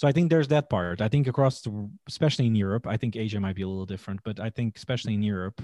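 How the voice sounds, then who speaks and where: A man with a Portuguese accent, fairly low pitch and dark, mellow tone at a very fast pace, the sound dry and close with no echo, in a very clean recording with a silent background. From Portugal. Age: 30s. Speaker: chef. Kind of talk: interview.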